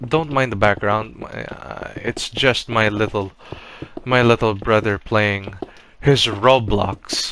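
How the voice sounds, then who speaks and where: Noticeable background noise runs under a man speaking at a very slow pace. His voice is fairly low, with ordinary pitch variation. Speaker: Minecraft builder YouTuber. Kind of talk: gameplay commentary. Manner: halting, many false starts.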